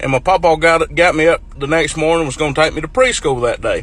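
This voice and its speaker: A man's high-pitched voice with a rural North Carolina accent, fairly quick, with ordinary pitch variation. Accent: Southern US, North Carolina rural. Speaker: farmer. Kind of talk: casual storytelling to camera.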